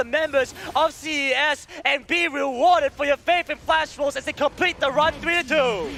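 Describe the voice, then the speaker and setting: A man speaks in a raised, projected voice. Noticeable background noise can be heard. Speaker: esports caster. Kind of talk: live commentary. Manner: animated.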